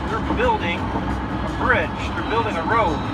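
Fairly slow speech from a man, with music behind it. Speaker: road trip vlogger. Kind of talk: casual vlog chat. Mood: dry, wry humor. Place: car. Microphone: phone near.

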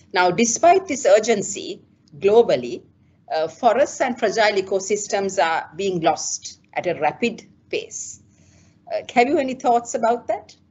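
With very wide pitch swings, a woman talks at a fairly slow pace in a fairly high voice. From Sri Lanka. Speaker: interviewer for a conservation organization. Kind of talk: interview. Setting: video call. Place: office. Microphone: video call.

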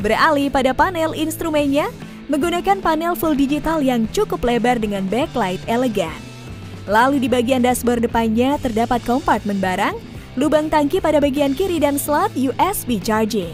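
Over music in the background, a woman speaks at a high pitch and moderate pace with lively intonation, the sound dry with no echo. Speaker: automotive channel narrator. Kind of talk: product review narration.

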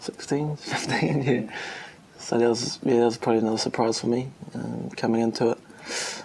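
A man with a New Zealand accent speaks at a moderate pace. His pitch is medium and his intonation fairly even. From New Zealand, Wellington and Palmerston North. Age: young. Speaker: rugby player. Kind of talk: interview. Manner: hesitant, many fillers. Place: meeting room.

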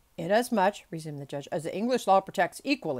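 Lively intonation in plain reading aloud

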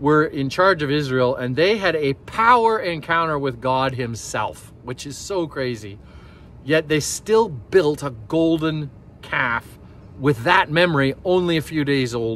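With lively intonation, a man talks at a fairly slow pace, the sound dry with no echo. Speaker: pastor. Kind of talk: sermon. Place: forest. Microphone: phone near.

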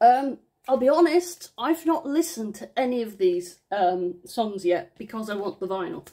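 Pitch swings very wide in this woman's fairly high voice, and her loudness swings a lot too. She keeps a moderate pace against a quiet background. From England. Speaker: vinyl unboxing vlogger. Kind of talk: casual unboxing chat. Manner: rambling, excitable. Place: home room. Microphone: phone near.

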